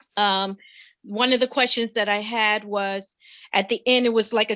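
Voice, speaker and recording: Her tone bright and sharp, a woman with a fairly high voice talks at a fairly slow pace in a monotone, flat way. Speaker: book reader giving feedback. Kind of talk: webinar book discussion. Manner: hesitant, many fillers.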